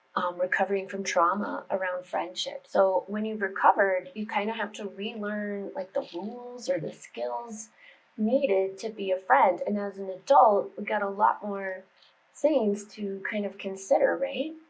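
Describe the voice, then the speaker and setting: In a plain, everyday voice, a woman with an American accent speaks at a moderate pace and medium pitch, with ordinary pitch variation and big swings in loudness. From United States. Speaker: meditation and spirituality YouTuber. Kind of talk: casual vlog talk to camera. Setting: home office. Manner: chatty, informal.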